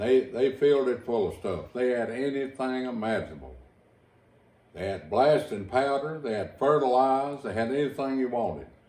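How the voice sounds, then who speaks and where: With audible room echo, a man speaks in a dark, mellow tone at a medium pitch with an Appalachian accent. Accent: Appalachian Kentucky rural. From Eastern Kentucky, Owsley County. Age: 70s. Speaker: storyteller reminiscing. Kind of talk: oral history interview.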